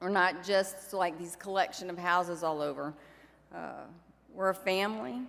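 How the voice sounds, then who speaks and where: A woman talks at a moderate pace in a medium pitch. She has a normal speaking voice. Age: 60s. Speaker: recovery organization leader. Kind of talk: convention keynote speech. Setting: stage with audience. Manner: warm, conversational.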